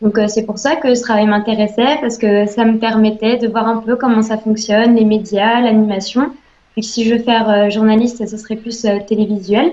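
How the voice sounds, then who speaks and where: Her fairly high voice stays in a monotone, flat intonation as the woman speaks. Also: moderate pace. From northeastern France (Ardennes, Charleville-Mézières). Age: 20s. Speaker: job applicant, psychology student. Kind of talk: self-presentation for audition. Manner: hesitant, many fillers.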